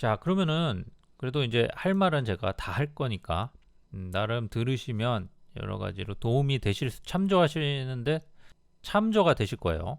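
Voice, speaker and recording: The man's voice has a medium pitch, very wide pitch swings and big swings in loudness at a moderate pace. It's a very clean recording against a silent background. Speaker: travel YouTuber. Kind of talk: casual monologue. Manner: halting.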